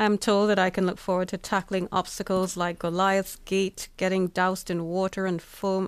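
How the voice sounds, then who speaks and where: In an ordinary speaking voice, a woman of medium pitch talks at a moderate pace on a very clean recording with a silent background. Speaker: podcast co-host. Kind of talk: news podcast discussion. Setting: studio.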